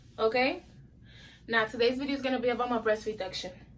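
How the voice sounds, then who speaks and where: High-pitched woman, raised and projected, bright and sharp in tone, with fairly even intonation. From New York, Brooklyn. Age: 20s. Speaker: YouTuber. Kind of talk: casual vlog storytelling.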